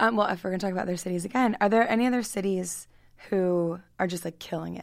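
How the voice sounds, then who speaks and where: A woman with a normal speaking voice at a medium pitch talks at a fairly quick pace with fairly even intonation in a very clean recording with a silent background. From Baltimore County, Maryland. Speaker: podcast host. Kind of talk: interview.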